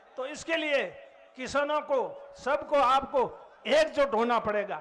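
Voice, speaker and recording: Through noticeable background noise, a man speaks at an extremely high pitch with ordinary pitch variation. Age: 70s. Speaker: veteran politician. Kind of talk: political rally speech.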